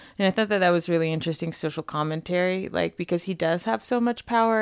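This woman has an ordinary speaking voice with an American accent and a fairly low pitch. The recording is very clean, with a silent background. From Las Vegas, Nevada. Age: 30s. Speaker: cannabis marketer. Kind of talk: casual chat.

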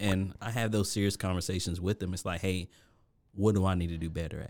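A man with an American accent, very deep, low pitch and monotone, flat intonation, on a very clean recording with a silent background. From US Virgin Islands. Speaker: restaurant director of operations, chef. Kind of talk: interview.

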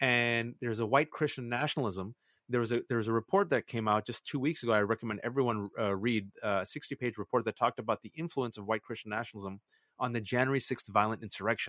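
A man talks at a very fast pace with a Californian accent. The background is quiet. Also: medium pitch for a man, ordinary pitch variation, dry, close sound with no echo. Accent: Californian American. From US, San Francisco Bay Area (Fremont). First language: not English (Pakistani family language). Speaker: journalist and author. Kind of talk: interview. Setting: video call. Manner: animated.

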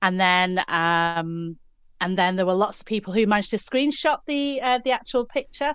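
Her voice sits at a medium pitch, and its loudness stays very even. The woman speaks at a moderate pace with lively intonation. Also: quiet background. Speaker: co-host and business founder. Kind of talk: casual chat. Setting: live audio event online. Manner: hesitant, chatty, laughs often.

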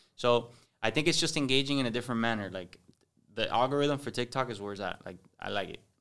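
A man at a medium pitch with ordinary pitch variation, a very fast pace, and big swings in loudness, on a very clean recording with a silent background. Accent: Cuban. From Miami, Cuban-American (Westchester/Hialeah). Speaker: comedy social media influencer. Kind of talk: casual chat.

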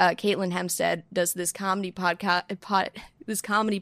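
A woman speaks in a plain, everyday voice at a moderate pace and medium pitch. Her intonation is fairly even, and the sound is dry and close with no echo. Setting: home desk, remote recording. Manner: chatty, self-deprecating, jokey.

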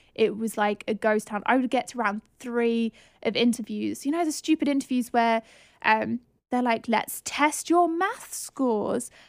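A woman in a southern English accent, fairly high pitch, ordinary pitch variation and a fairly slow pace, with a dry, close sound with no echo on a very clean recording with a silent background. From southern England. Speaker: podcast host, property investment coach. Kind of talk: solo podcast monologue, personal story.

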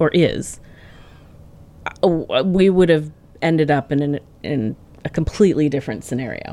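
A woman with an American accent speaks in a very deep, low pitch. Her tone is dark and mellow, with long, frequent pauses. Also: ordinary pitch variation, moderate pace. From New England, US. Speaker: parent and special education advocate. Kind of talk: interview conversation. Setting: studio.

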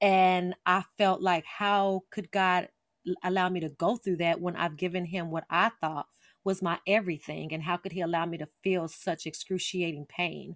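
A woman with an American accent speaks at a moderate pace, with a fairly low pitch and flat, monotone intonation. The very clean recording has a silent background and a dry, close sound with no echo. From Las Vegas, Nevada, US. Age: 40s. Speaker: author. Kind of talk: interview.

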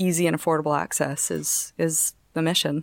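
With a Canadian accent, a woman uses an unremarkable speaking voice at a fairly low pitch and ordinary pitch variation, the sound dry and close with no echo, the recording very clean over a silent background. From Canada. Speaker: fintech startup co-founder. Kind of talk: casual interview.

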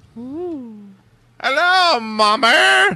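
This put-on character voice uses a Scottish accent at a fairly high pitch. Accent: Scottish, poorly done. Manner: playful, joking.

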